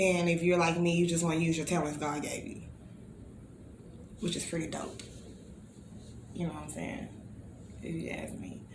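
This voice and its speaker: In an American accent, a woman with a fairly low voice speaks at a moderate pace in a monotone, flat way, with long, frequent pauses, big swings in loudness and audible room echo. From Texas, Bryan. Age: 30s. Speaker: talk show host. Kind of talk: casual monologue.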